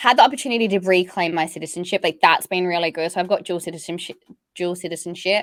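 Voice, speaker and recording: With an Australian accent, a woman at a fairly low pitch speaks at a very fast pace with ordinary pitch variation. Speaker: entrepreneur, stress and burnout coach. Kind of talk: podcast interview. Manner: casual, lots of fillers like 'like'.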